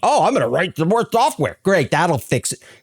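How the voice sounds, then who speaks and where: Using a put-on character voice, a high-pitched man speaks at a fairly quick pace. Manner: sarcastic, mocking.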